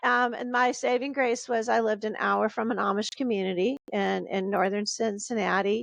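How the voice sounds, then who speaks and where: Using a fairly high pitch and fairly even intonation, a woman with an American accent speaks at a moderate pace with hardly any pauses. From Texas, Houston. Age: 50s. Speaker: novelist. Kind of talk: interview. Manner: halting, many false starts.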